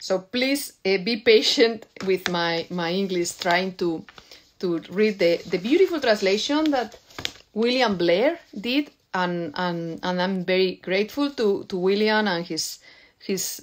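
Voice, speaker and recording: With a Spanish accent, a woman speaks fairly slowly in a medium pitch with lively intonation. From Spain. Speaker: poet. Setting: video call. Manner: halting.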